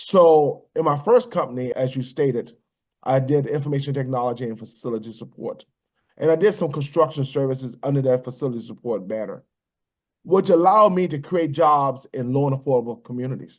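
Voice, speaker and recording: A man's fairly high, fairly quick speech with ordinary pitch variation and an unremarkable speaking voice. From US South, rural Virginia. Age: 60s. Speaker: business owner, military veteran. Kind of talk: interview.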